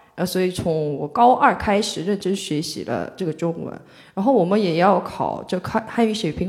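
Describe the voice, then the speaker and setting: A woman's medium-pitched voice with a Korean accent, a moderate pace and ordinary pitch variation. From South Korea, Mokpo (South Jeolla). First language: Korean (speaking Chinese). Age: 20s. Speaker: Korean student in China. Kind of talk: live panel discussion.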